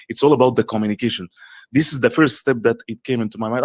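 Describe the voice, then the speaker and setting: An Arabic accent in a dry, close sound with no echo, in a very clean recording with a silent background. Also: man. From Egypt. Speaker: coach and content creator. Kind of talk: interview.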